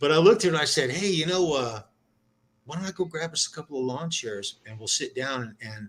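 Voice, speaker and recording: A man talks at a very fast pace with a fairly high pitch. His intonation is lively and his loudness swings widely. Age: 60s. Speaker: live stream panel regular. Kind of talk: casual chat. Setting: live stream.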